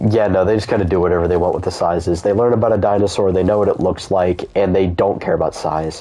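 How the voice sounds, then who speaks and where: The speech has an American accent and a fairly quick pace. Noticeable background noise runs underneath. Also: man. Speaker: gaming streamer. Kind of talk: casual chat. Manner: animated.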